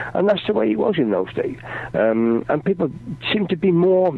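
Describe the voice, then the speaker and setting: Lively intonation marks this man's fairly quick speech. Noticeable background noise is present. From English Midlands. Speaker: rock singer and author. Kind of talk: radio interview. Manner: halting.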